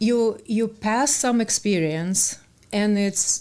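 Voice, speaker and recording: A woman with a Russian accent speaks at a very slow pace with ordinary pitch variation. The recording is very clean, with a silent background. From Russia (born in Ukraine, childhood partly in Germany). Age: 50s. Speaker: author. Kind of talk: podcast interview. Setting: studio. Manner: halting.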